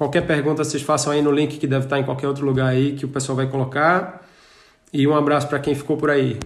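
Very fast, monotone, flat delivery with audible room echo. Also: man, fairly high pitch for a man. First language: Portuguese. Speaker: podcast host. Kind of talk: interview. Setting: traveling in Germany. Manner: halting.

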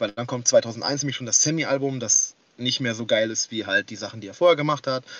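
At a fairly quick pace, a man talks at a medium pitch with ordinary pitch variation and big swings in loudness. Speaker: rapper and forum moderator. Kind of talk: casual chat. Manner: hesitant, many fillers.

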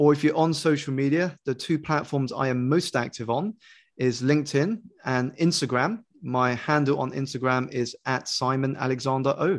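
The speaker has a British accent and a moderate pace. Pitch variation is ordinary, and the background is quiet. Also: man, fairly high pitch for a man. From United Kingdom. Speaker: life coach and author. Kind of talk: interview. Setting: video call.

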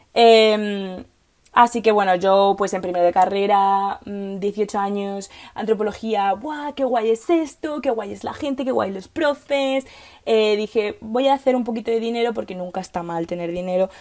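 At a fairly slow pace, a woman speaks in an animated tone at a medium pitch with ordinary pitch variation. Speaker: podcast host, political scientist. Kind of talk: casual monologue. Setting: recording in a wardrobe at home.

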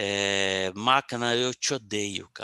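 The man's tone is bright and sharp, with a dry, close sound and no echo. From São Paulo, Brazil. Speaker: podcast co-host, psychologist. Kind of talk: casual chat, personal life story. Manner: halting, many repetitions and fillers.

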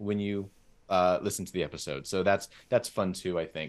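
On a very clean recording with a silent background, a man with an American accent speaks at a moderate pace in an unremarkable speaking voice. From Southern California. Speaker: podcast host. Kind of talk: casual chat.

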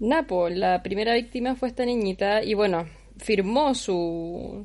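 The speaker uses a Chilean accent with ordinary pitch variation. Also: woman. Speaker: podcast co-host. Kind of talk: casual chat.

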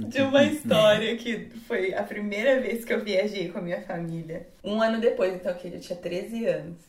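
Amid noticeable background noise, a woman speaks at a moderate pace and medium pitch with ordinary pitch variation, hardly any pauses and big swings in loudness. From Brazil. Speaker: English teacher. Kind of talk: casual chat.

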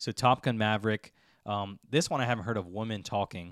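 A man talks at a fairly quick pace with a fairly low pitch, in a plain, everyday voice. The sound is dry and close, with no echo. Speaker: podcast host. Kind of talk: casual chat.

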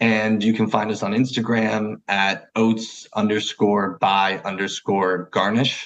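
A man with a New Jersey accent, fairly low in pitch, talking very slowly in a flat monotone with hardly any pauses. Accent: New Jersey American. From New Jersey, US. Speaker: food brand founder and chef. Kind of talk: interview.

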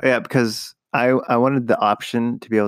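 A man with a plain, everyday voice talks at a fairly quick pace in fairly even intonation. The sound is dry and close, with no echo. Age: 20s. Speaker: host's husband. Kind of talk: casual chat.

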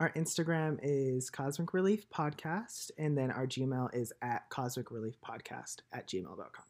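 A man with a normal speaking voice and a fairly high pitch talks at a moderate pace, his loudness swinging widely. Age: 20s. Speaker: podcast co-host. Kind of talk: casual chat.

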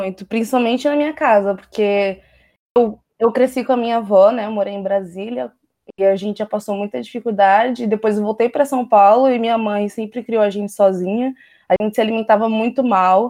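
Speaking fairly quickly with fairly even intonation, a woman has a fairly high voice and a dark, mellow tone. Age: 20s. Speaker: vegan activist and author. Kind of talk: interview.

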